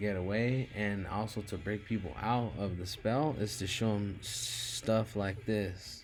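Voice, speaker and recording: Speaking at a very slow pace, a man with a fairly low pitch keeps a fairly even intonation, and audible room echo surrounds him. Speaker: gematria video commentator. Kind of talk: casual monologue over screen recording. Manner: halting with many fillers.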